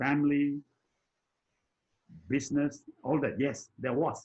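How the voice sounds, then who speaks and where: A fairly high-pitched, somewhat breathy male voice at a fairly slow pace. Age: 80s+. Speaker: personal development mentor. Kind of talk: conversational discussion. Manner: halting, with repetitions.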